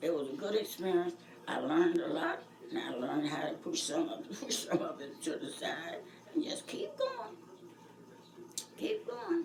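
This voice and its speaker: Very wide pitch swings from a woman with fairly high pitch, at a moderate pace with long, frequent pauses and noticeable background noise. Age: 80s+. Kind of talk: interview answer.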